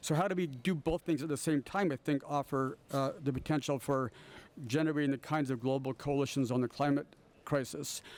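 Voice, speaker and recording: A normal speaking voice from a man, fairly high in pitch, with fairly even intonation, very even loudness, and a fairly quick pace. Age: 60s. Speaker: professor, panelist. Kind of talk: panel discussion.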